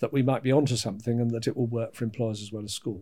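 With a British accent and a medium pitch, a man speaks in fairly even intonation over a very clean recording with a silent background. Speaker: education adviser. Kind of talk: casual interview.

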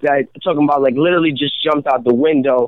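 A man with a plain, everyday voice talks in an American accent at a fairly high pitch with fairly even intonation. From Rhode Island, US. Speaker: rapper. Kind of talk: casual radio interview.

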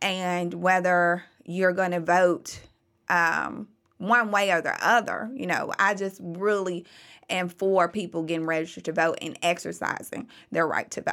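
A woman talks at a fairly slow pace with fairly even intonation and a bright, sharp tone. The recording is very clean, with a silent background. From Memphis, Tennessee (North Memphis). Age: 30s. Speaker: former political candidate and consultant. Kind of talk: interview.

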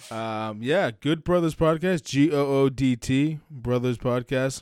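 In a plain, everyday voice, a man with an American accent talks at a medium pitch with ordinary pitch variation on a very clean recording with a silent background. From Massachusetts. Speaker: wrestling podcast host. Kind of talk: casual chat.

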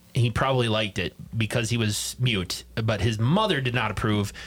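A man talks at a fairly quick pace in a normal speaking voice. His loudness stays very even and his intonation fairly even. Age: 40s. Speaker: podcast host. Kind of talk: casual chat.

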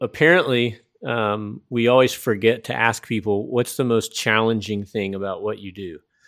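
With a Southern US accent, a man speaks at a medium pitch and a moderate pace with ordinary pitch variation. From US South. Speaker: podcast host and missionary. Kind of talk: casual interview conversation.

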